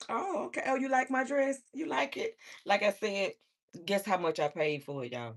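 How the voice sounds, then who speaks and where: At a moderate pace, a woman speaks in an animated tone with very wide pitch swings. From Alabama, US South. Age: 40s. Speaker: livestreamer. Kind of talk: casual livestream chat.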